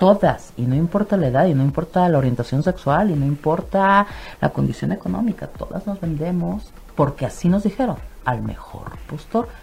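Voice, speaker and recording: Lively intonation at a moderate pace, over noticeable background noise. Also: woman, fairly low pitch for a woman. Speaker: psychologist and sexologist. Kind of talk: radio interview. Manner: animated.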